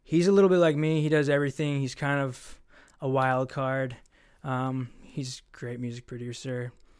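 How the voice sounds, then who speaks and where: On a very clean recording with a silent background, a man speaks at a medium pitch and moderate pace with fairly even intonation. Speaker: artist and videographer. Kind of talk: casual interview chat. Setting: studio. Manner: soft-spoken.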